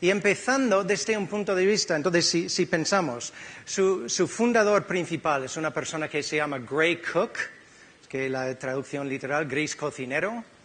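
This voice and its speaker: A man's high-pitched voice with an American accent at a moderate pace. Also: lively intonation. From California, US. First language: English (speaking Spanish). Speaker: physiotherapist. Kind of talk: conference talk. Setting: stage with audience.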